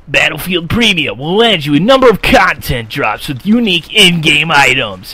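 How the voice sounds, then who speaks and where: A man's put-on character voice, high in pitch. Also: moderate pace. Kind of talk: announcer.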